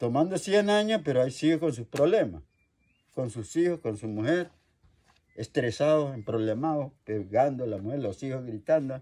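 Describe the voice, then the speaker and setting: At a moderate pace, a man with a medium pitch and dark, mellow tone makes very wide pitch swings. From Colombia, Meta. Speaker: traditional healer. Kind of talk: interview answer.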